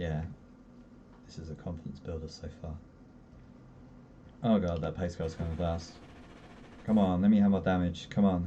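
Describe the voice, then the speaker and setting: Very deep and low, a man's voice moves at a moderate pace, broken by long, frequent pauses. His loudness swings widely, and the room echo is audible. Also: fairly even intonation. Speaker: sim racing streamer. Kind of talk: live gameplay commentary. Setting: live stream.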